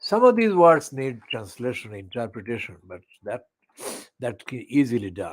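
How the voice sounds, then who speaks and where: A man with a Bangladeshi accent, medium pitch, a moderate pace and big swings in loudness. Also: lively intonation. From Sylhet region, Bangladesh. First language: Sylheti. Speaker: online channel presenter. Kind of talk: poetry reading with commentary. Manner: halting.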